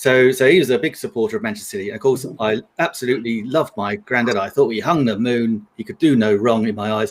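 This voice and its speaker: A man with a London accent, very fast and hardly pausing, at medium pitch with ordinary pitch variation. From London, England. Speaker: live stream panelist. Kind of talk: casual chat.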